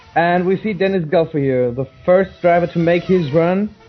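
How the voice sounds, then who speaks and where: A man with a high voice talks with ordinary pitch variation. Music plays in the background. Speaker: sim racing commentator. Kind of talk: live commentary. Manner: halting.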